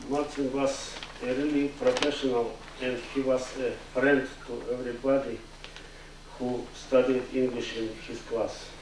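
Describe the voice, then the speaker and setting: Amid noticeable background noise and audible room echo, a man talks fairly slowly at a medium pitch in a flat monotone. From Belarus. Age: 60s. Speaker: adult ESL student. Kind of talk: memorial tribute.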